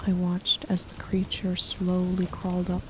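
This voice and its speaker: Noticeable noise fills the background. The speaker goes along at a fairly slow speed. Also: woman. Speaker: horror story narrator. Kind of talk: sleep story. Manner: soft-spoken.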